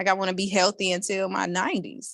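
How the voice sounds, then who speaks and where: With a normal speaking voice, a woman talks at a fairly quick pace and fairly low pitch, the sound dry and close with no echo. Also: very clean recording, silent background. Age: 40s. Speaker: network marketing distributor. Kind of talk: testimony.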